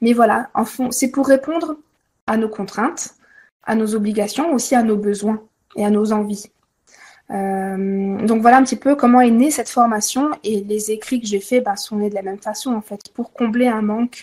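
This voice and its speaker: A woman speaks in an unremarkable speaking voice at a fairly high pitch. Her intonation stays fairly even, and her pace is moderate. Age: 30s. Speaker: Reiki teacher. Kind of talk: interview.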